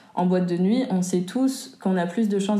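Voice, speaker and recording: In a room with audible echo, a woman talks at a fairly quick pace in a medium pitch with fairly even intonation. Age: 20s. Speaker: testimony contributor. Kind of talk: testimony.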